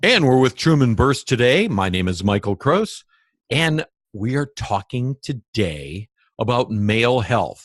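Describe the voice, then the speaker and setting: Against a quiet background, a man with a normal speaking voice and medium pitch talks at a fairly slow pace with lively intonation, the sound dry and close with no echo. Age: 60s. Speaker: interviewer on alternative health. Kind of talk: interview.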